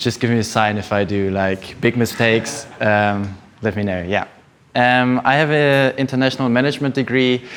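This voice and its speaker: A man with a German accent speaks at a medium pitch. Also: ordinary pitch variation, moderate pace. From Germany, Düsseldorf. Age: 20s. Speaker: energy economist. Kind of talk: talk to an audience. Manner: halting.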